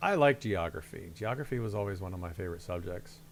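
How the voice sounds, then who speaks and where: At a moderate pace, a man with a Midwestern accent speaks in a very deep, low pitch with vocal fry and lively intonation. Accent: Midwest. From Ohio, US Midwest. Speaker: video game streamer. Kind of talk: casual gameplay commentary. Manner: casual, halting with fillers.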